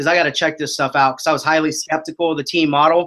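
The man's tone is bright and sharp. His intonation stays fairly even. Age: 30s. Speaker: real estate team leader. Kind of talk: interview. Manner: many fillers and restarts.

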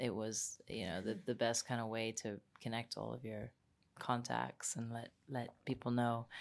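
The recording is very clean, with a silent background. A woman with a very deep, low pitch and vocal fry talks at a moderate pace with fairly even intonation. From Egypt. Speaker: documentary filmmaker. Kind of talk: interview.

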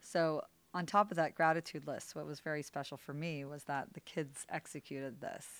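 A woman's very deep, low voice with an American accent, moderate pace, fairly even intonation and big swings in loudness, in a very clean recording with a silent background. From California. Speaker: podcast guest, host's wife. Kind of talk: casual chat.

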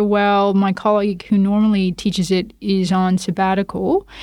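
In a very clean recording with a silent background, a woman uses an unremarkable speaking voice at a medium pitch and a moderate pace. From Toronto, Canada. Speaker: lawyer and law academic. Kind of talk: casual interview.

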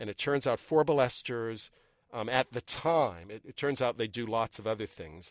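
On a very clean, dry and close recording with a silent background and no echo, a man with a plain, everyday voice speaks at a moderate pace in a medium pitch, showing ordinary pitch variation and big swings in loudness. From US Northeast, Boston area. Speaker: neuroscience professor. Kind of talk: casual interview.

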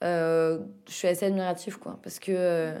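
A woman speaks in a dark, mellow tone. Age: 20s. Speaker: podcast host. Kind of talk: casual chat.

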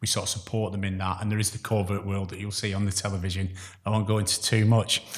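Speaking at a very fast pace, a man with a fairly low pitch sounds somewhat breathy, his intonation monotone and flat. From northern England (Chorley, Lancashire), born in Glasgow. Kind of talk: interview.

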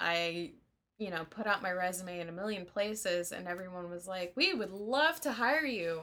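On a very clean recording with a silent background, a woman uses a normal speaking voice at a moderate pace with lively intonation. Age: 30s. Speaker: singer and performer. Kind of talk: casual interview.

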